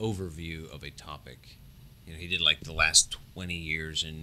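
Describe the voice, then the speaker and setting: Mumbled words come at a moderate pace. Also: man. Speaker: mechanical engineering professor. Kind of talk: casual interview. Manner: mumbling.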